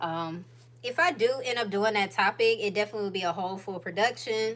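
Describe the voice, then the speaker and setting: This woman has an Atlanta accent and a fairly high pitch. She speaks at a moderate pace with ordinary pitch variation. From US South, Atlanta Georgia. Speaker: YouTuber, lifestyle vlogger. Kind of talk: casual livestream chat. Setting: home livestream.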